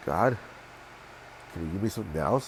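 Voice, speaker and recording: The voice is somewhat breathy. This man's pitch is fairly low. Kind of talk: casual religious talk to camera. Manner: halting, many fillers.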